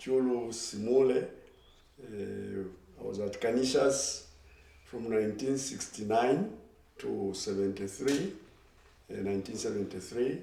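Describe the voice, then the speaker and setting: A medium-pitched man's voice with ordinary pitch variation at a fairly slow pace, long, frequent pauses, noticeable background noise and audible room echo. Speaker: former student, alumni group chair. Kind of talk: casual interview.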